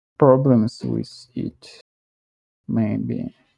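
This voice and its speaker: A man is speaking here. His accent is strongly non-native. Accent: thick foreign. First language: not English; strongly rolled R. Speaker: English learner. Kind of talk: self-study practice talking aloud. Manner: halting, self-correcting.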